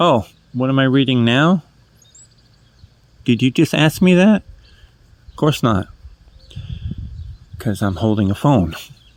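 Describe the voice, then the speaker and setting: With a slight New England accent, the voice moves at a fairly slow pace through very wide pitch swings in a dry, close sound with no echo. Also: man. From New England, New Hampshire. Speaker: vlogger. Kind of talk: casual monologue. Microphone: cheap earbud mic.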